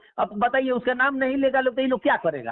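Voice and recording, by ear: At a fairly quick pace, a man speaks with an extremely high pitch.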